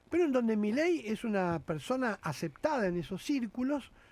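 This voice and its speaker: A man speaks in a high voice with an Argentine accent, at a fairly slow pace and with very wide pitch swings. The recording is very clean, with a silent background. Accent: Rioplatense Argentine Spanish. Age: 60s. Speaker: politician. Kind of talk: radio interview. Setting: radio studio. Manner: animated.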